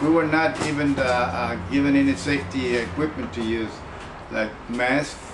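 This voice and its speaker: Amid noticeable background noise and audible room echo, a man with a fairly high pitch talks with ordinary pitch variation. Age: 70s. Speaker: former army depot worker. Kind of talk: testimony. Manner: halting.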